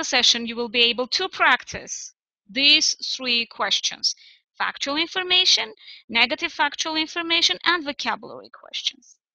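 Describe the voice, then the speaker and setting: Raised and projected, a woman's voice has a bright, sharp tone and lively intonation in a dry, close sound with no echo. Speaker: English teacher. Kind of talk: online lesson.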